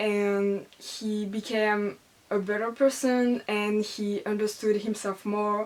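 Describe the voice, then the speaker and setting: Speaking very slowly, a woman holds a fairly high pitch in a flat, monotone delivery. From France. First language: French. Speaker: book vlogger. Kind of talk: casual book review vlog. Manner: hesitant, many fillers.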